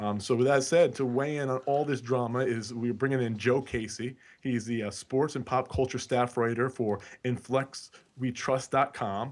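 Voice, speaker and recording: Speaking at a moderate pace with a New York accent, a man uses a medium pitch and fairly even intonation on a very clean recording with a silent background. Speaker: basketball podcast co-host. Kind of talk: casual podcast discussion.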